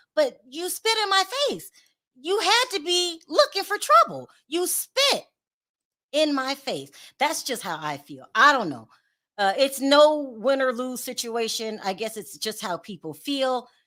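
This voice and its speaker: A woman speaks in a high, bright and sharp voice, raised and projected, at a fairly slow pace with very wide pitch swings, big swings in loudness and an animated tone, on a very clean recording with a silent background. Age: 50s. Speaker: YouTube commentary host. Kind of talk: live stream commentary chat.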